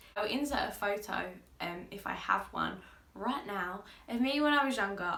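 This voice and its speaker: Audible room echo surrounds a woman who speaks at a moderate pace in a bright, sharp tone with lively intonation. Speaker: makeup artist and YouTuber. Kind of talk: casual chat. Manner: loud; bubbly, lively.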